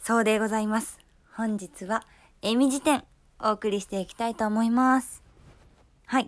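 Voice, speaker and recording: On a very clean recording with a silent background, a woman with a Kyoto accent uses a cheerful tone and a fairly high pitch, speaking at a moderate pace with fairly even intonation, big swings in loudness, and long, frequent pauses. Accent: Kansai (Kyoto) Japanese. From Kyoto, Japan. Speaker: podcast host. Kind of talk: casual solo talk. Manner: cheerful, chatty.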